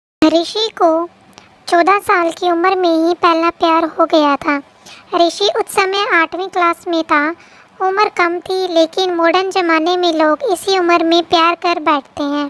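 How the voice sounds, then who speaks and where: A woman's gentle voice, extremely high-pitched, with fairly even intonation and a moderate pace. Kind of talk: bedtime story. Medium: read story. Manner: gentle, emotional.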